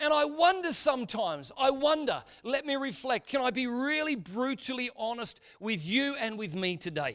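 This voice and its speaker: Using an Australian accent, a man speaks at an extremely high pitch and a moderate pace, with lively intonation and hardly any pauses. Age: 40s. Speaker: pastor. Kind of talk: sermon. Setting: church.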